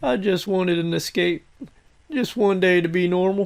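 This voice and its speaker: A put-on character voice at a middle pitch. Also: moderate pace. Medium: machinima.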